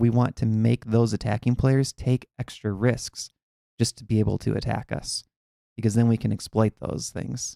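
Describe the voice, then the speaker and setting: A man with a Minnesotan accent, dark and mellow in tone, medium in pitch, at a moderate pace, dry and close with no echo. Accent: Minnesota. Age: 40s. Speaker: chess coach. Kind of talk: live online chess class. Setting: live stream. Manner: casual, conversational.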